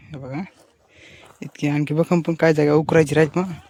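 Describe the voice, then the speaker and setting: This man talks in a monotone with flat intonation and a fairly high pitch. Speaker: farmer vlogger. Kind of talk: casual vlog narration. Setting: outdoors in a field. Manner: halting in Hindi.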